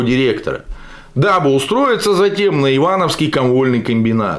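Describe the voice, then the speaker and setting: This man speaks in an animated tone at a moderate pace. His intonation is lively. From Russia, Yekaterinburg; Russia. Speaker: political video blogger. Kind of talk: political commentary monologue. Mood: sarcastic, critical. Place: home room.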